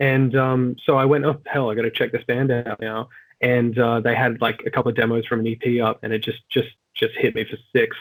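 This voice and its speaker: A man with an Australian accent talks at a fairly quick pace. His medium-pitched voice is monotone, with flat intonation. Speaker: rock vocalist. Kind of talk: casual interview chat.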